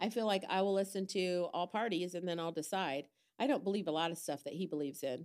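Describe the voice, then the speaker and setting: A woman's fairly low voice races at a very fast pace while her pitch varies in an ordinary way. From Indiana, US Midwest. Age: 60s. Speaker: church member. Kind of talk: casual chat.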